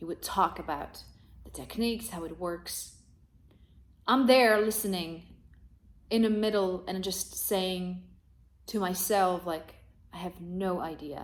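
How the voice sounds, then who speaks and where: Pausing long and often, a woman talks at a medium pitch with ordinary pitch variation and big swings in loudness. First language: not English. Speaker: rock singer. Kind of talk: video review monologue. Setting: talking to a camera. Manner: hesitant, many fillers.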